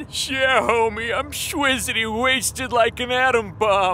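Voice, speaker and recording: With clear background noise behind him, a man performs a cartoonish character voice at an extremely high pitch and a fairly slow pace. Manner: dopey, slangy.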